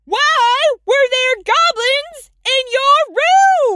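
Shouting in a put-on character voice, a woman squeaks at an extremely high pitch, very slowly, with lively intonation. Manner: yelling.

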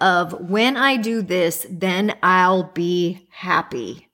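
A woman talks very slowly at a medium pitch. Her tone is bright and sharp. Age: 40s. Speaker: podcast co-host on manifestation. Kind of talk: casual chat.

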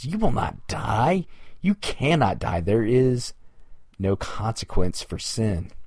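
This man puts on a character voice with a hissing sound. His pitch is medium and he goes at a fairly slow pace.

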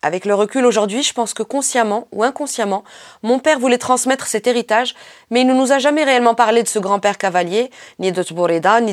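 Her pitch is fairly high, with ordinary variation, as a woman speaks in an animated tone, the sound dry and close with no echo. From Morocco. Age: 40s. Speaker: podcast host. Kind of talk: narrated documentary podcast; live on-site description.

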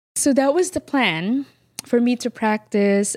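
Heard in a very clean recording with a silent background and a dry, close sound with no echo, the speaker talks at a moderate pace in a Filipino accent with ordinary pitch variation. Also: woman. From Philippines. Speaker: flower farmer and business owner. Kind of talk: interview.

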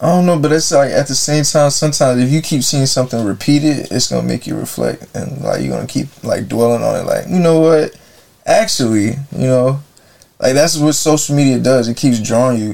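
With an American accent, a man talks at a fairly quick pace in an unremarkable speaking voice. His pitch is fairly high and varies in an ordinary way. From Jacksonville, Florida. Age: 20s. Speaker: podcast co-host. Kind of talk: casual chat.

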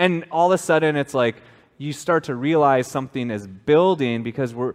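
A man speaks at a moderate pace with lively intonation in an unremarkable speaking voice. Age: 30s. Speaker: pastor. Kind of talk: sermon. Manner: casual, conversational.

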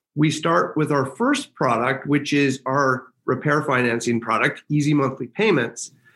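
A man with a normal speaking voice at a moderate pace. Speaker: company founder and CEO. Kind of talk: interview.

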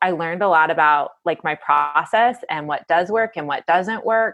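A woman at a medium pitch, moderate pace and ordinary pitch variation. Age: 30s. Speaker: novelist. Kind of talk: interview.

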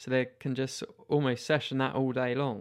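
A man has a British accent and a medium pitch. He speaks at a moderate pace. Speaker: mountain bike podcaster. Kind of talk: solo podcast monologue.

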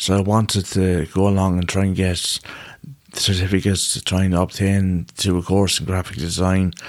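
Very deep and low, a man's voice moves at a moderate pace in a monotone, flat intonation on a very clean recording with a silent background. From Ireland, Boyle, County Roscommon. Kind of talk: casual chat.

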